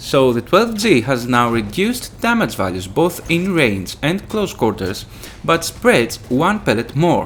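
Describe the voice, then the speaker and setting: A man speaking fairly slowly with very wide pitch swings, over noticeable background noise. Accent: Greek. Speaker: gaming youtuber. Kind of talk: tutorial.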